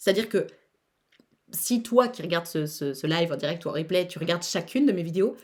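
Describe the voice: At a fairly quick pace, a woman speaks with lively intonation, her fairly low voice slightly mellow in tone.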